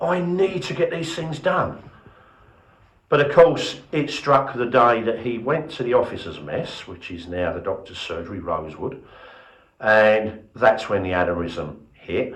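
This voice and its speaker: In a room with audible echo, a man speaks at a medium pitch and a fairly slow pace, somewhat breathy, with very wide pitch swings and big swings in loudness. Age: 60s. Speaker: museum volunteer leader. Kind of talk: interview. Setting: heritage centre open day.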